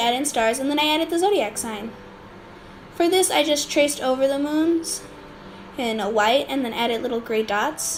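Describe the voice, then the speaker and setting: A woman speaks amid audible room echo and noticeable background noise. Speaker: digital art youtuber. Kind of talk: art tutorial voiceover. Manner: halting, many fillers.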